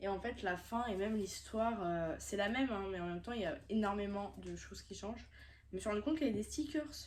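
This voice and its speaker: A woman's very fast speech at medium pitch, with ordinary pitch variation, vocal fry, and audible room echo. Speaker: manga YouTuber. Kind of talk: casual vlog haul. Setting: on a bed at home.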